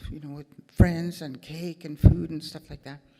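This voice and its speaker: A woman speaks. Her tone is dark and mellow. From Manitoba, Canada. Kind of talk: opening address. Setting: stage with audience.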